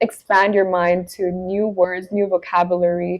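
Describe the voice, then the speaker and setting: With a non-native accent, a woman of medium pitch speaks in fairly even intonation. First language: not English. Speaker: lifestyle and etiquette vlogger. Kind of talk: talking-head advice video.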